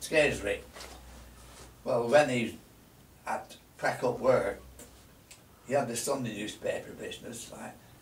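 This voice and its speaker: A man speaks at a moderate pace. Audible room echo surrounds his voice. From Lancashire, northern England. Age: 90s. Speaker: shopkeeper. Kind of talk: reminiscing interview. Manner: halting. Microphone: camera far.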